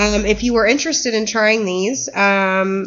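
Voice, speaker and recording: Speaking at a moderate pace, a woman uses medium pitch. Her pitch variation is ordinary. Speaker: shop owner presenting products. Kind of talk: product demo on livestream. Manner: hesitant, many fillers. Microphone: mic moved away, cutting out.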